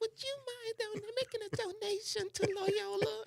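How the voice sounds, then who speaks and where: A put-on character voice, soft-spoken and extremely high-pitched, delivered at a moderate pace. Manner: sweet, polite, asking for a donation.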